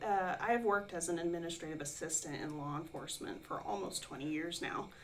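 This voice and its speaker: Speaking at a fairly quick pace with hardly any pauses, a woman with a fairly low pitch uses lively intonation over noticeable background noise. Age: 40s. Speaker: online adult student and administrative assistant. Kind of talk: interview.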